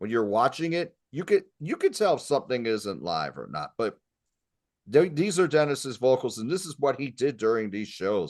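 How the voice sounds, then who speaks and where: A man speaks with vocal fry and very wide pitch swings. The background is quiet. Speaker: music podcast host. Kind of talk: casual chat.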